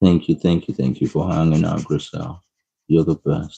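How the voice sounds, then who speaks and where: A man speaks at a moderate pace in a very deep, low pitch. His tone is dark and mellow, with vocal fry. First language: not English. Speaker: art streamer. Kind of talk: live-stream coloring tutorial with chat. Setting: live stream. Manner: casual, chatty.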